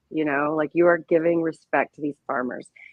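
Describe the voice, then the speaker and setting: A woman with an American accent at a fairly quick pace. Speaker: creator and organizer of a hemp judging cup. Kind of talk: casual chat. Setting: live-streamed podcast with several guests. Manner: animated.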